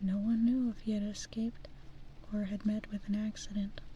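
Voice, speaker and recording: Soft-spoken delivery at a moderate pace. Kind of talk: fairy tale reading.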